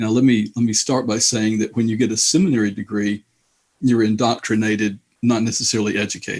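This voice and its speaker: A man at a very fast pace, with a slight Alabama accent, medium pitch and monotone, flat intonation. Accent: slight Southern US (Alabama). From Indianapolis, US Midwest. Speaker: author and theologian. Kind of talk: interview.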